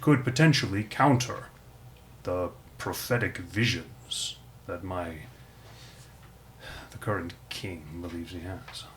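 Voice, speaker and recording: A man uses a put-on character voice with a very deep, low pitch at a fairly slow pace. He takes long, frequent pauses over clear background noise. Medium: actual play. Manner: measured, formal.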